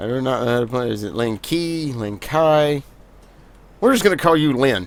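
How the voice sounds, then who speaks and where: Talking at a moderate pace in a Southern US accent, a man uses a medium pitch with lively intonation. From US South. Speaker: gaming video creator. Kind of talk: gameplay commentary. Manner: casual, conversational.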